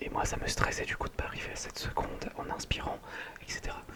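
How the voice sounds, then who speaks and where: A man whispering over noticeable background noise. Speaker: ASMR creator. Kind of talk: ASMR meditation and sleep talk. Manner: whispered, soft-spoken, slow.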